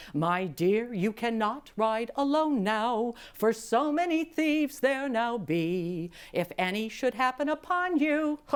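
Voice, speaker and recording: A put-on character voice with very wide pitch swings at a fairly slow pace. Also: woman, fairly high pitch for a woman. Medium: read story. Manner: smooth, flattering.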